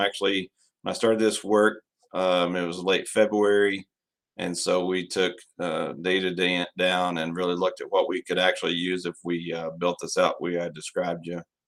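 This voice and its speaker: At a moderate pace, a man with an American accent speaks in a very deep, low pitch and fairly even intonation. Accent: West Texas, milder than outdoors. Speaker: school district administrator. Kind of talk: narrated video presentation.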